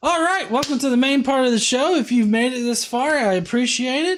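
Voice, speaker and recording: The tone is animated, with a slight Southern US accent. The recording is very clean, with a silent background. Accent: slight Southern twang. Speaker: atheist commentary streamer. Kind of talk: live stream reaction commentary. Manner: casual, animated.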